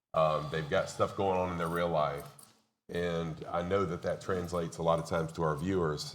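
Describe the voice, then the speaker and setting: Intonation stays fairly even at a fairly quick pace, with audible room echo around the voice. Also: man. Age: 50s. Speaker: community college instructor and streamer. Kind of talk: panel discussion. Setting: stage with audience at expo.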